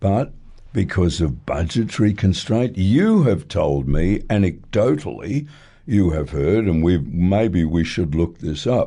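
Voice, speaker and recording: A man with an Australian accent speaks with very deep, low pitch and a dark, mellow tone against a quiet background. His pace is fairly slow, his loudness very even and his pitch swings very wide. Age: 70s. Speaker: retired judge, radio commentator. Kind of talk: radio talkback interview. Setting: radio studio.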